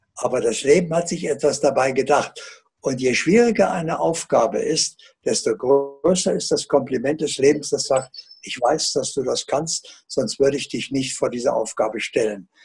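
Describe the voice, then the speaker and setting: With music playing in the background, a man talks in a fairly high pitch and lively intonation. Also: moderate pace. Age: 80s+. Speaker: author and alternative healer. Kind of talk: interview answer.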